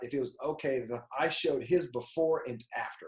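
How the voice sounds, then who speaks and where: Somewhat breathy, a man talks in a fairly high voice. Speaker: personal brand coach. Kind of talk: tutorial. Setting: screen share recording. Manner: fast; animated.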